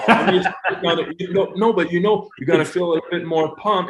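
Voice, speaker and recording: A man speaks in a Quebec accent at a high pitch. His intonation stays fairly even. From Quebec, Montreal. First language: French. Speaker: hockey coach. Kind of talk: interview. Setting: podcast.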